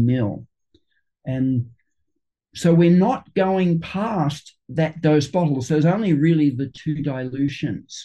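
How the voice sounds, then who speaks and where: A man's fairly high, dark, mellow and somewhat breathy voice, with an Australian accent. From Sydney, Australia. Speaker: flower essence maker and homeopath. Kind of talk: interview. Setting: video call.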